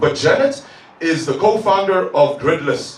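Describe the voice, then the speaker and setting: Speaking at a moderate pace with lively intonation, a man is recorded with audible room echo and noticeable background noise. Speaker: tech entrepreneur. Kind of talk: conference talk. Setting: stage with audience.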